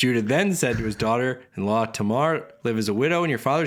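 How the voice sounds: A natural reading voice with lively intonation throughout.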